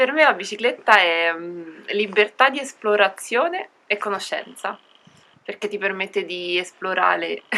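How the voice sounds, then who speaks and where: A woman's bright, sharp voice at a medium pitch, with ordinary pitch variation and a fairly slow pace. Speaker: cycle traveller. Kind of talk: interview. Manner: long-winded.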